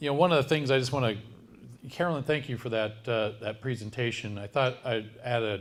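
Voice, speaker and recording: A man speaks at a moderate pace and a medium pitch. His pitch varies in an ordinary way. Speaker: tech company CEO. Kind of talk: presentation. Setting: event with live audience. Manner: loud.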